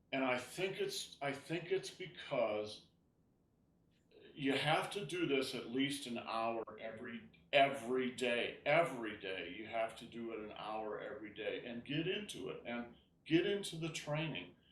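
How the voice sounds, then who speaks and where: A man with a fairly high pitch speaks fairly slowly, with lively intonation and big swings in loudness. Audible room echo surrounds his voice. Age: 70s. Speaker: tai chi teacher. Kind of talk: class instruction chat. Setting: video call. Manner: halting.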